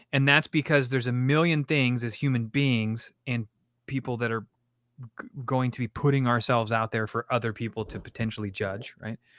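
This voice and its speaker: Heard in a very clean recording with a silent background, a man speaks at a moderate pace with fairly even intonation. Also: medium pitch for a man, hardly any pauses, dry, close sound with no echo. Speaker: content creation coach and streamer. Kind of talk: casual chat. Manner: loud.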